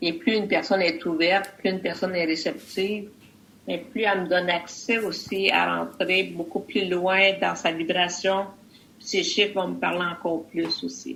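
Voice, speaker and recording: Speaking at a moderate pace, a woman uses a fairly low pitch and fairly even intonation. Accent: Quebec. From Quebec, Canada. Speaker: numerologist and medium. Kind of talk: interview.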